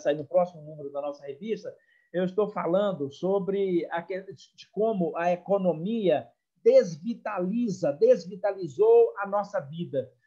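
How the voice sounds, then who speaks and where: A man's high-pitched voice, dark and mellow in tone, at a fairly slow pace with big swings in loudness. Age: 60s. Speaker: psychologist. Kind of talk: online talk. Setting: video call.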